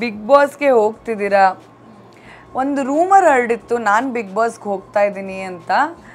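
A woman with a fairly high pitch speaks with lively intonation and big swings in loudness while faint music plays in the background. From Bangalore, India; India. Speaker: TV actress and YouTuber; TV actress, YouTuber. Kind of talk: casual Q&A vlog. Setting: on set during makeup before a shoot. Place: office. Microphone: lapel.

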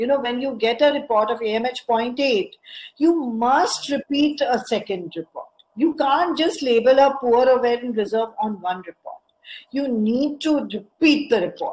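Speaking at a fairly slow pace, a woman uses lively intonation and a high pitch. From India. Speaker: fertility specialist; guest. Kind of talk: lecture. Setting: video call.

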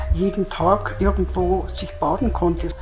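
A woman speaks at a very slow pace, with clear music in the background. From Germany. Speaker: contemporary witness. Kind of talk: interview answer. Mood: calm, reminiscing. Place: studio. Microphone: lapel.

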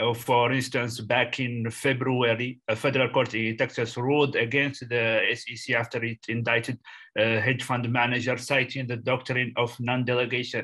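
A man with a bright, sharp tone speaks at a medium pitch in a monotone, flat intonation, with hardly any pauses, over a quiet background. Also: moderate pace. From Mauritania. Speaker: student. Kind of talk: question in seminar discussion. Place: home room. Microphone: webcam.

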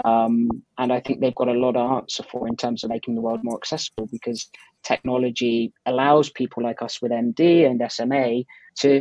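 A man with an ordinary speaking voice talks at a fairly quick pace, his pitch medium and his intonation fairly even. The sound is dry with no echo, over a quiet background. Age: 20s. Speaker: guest. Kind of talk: interview. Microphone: earbuds.

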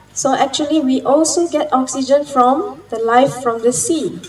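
A woman's high voice, fairly slow and lively in intonation, over light background noise. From Penang, Malaysia; Malaysia. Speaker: marine science lecturer. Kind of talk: conference talk. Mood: friendly, explanatory. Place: garden. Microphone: handheld.

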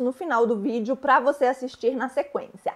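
Over a quiet background, the speaker goes at a moderate pace. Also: woman. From Brazil. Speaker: YouTuber and relocation consultant; YouTuber. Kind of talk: vlog tutorial. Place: home room. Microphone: lapel.

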